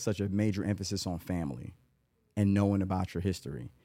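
In an American accent, a man with a fairly low pitch and a dark, mellow tone speaks with ordinary pitch variation on a very clean recording with a silent background. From Atlanta, US South. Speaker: construction company CEO. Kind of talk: casual chat.

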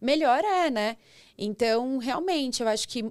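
A woman's high-pitched voice with very wide pitch swings, on a very clean recording with a silent background. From interior of São Paulo state, Brazil (São Roque). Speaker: banking open finance coordinator. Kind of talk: casual interview chat.

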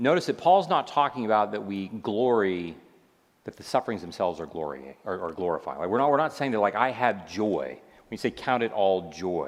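With very wide pitch swings and vocal fry, a man speaks at a fairly quick pace in a fairly low pitch. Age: 50s. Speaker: psychiatrist and speaker. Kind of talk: lecture.

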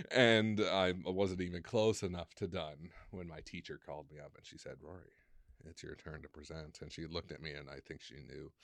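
A man with a very deep, low voice talks at a fairly quick pace with ordinary pitch variation. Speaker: college student and army veteran. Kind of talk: casual chat. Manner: outgoing speaker.

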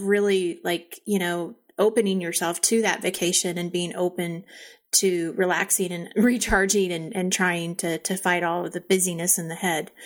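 In an unremarkable speaking voice, a woman talks at a moderate pace with medium pitch and fairly even intonation, captured in a very clean recording with a silent background. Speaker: ADHD coach and co-host. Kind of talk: casual chat.

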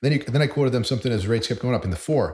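With an American accent, the speaker goes at a very fast pace, somewhat breathy, with ordinary pitch variation. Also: man. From Boston, Massachusetts. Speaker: mortgage loan originator. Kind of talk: casual interview chat.

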